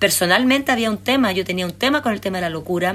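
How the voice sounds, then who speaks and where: A woman with a Chilean accent talks with lively intonation. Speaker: documentary filmmaker. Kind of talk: interview. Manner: animated.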